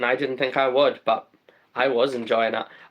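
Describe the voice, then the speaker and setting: A medium-pitched man with an Irish accent. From Ireland. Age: 20s. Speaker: LEGO live streamer. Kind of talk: casual live stream chat.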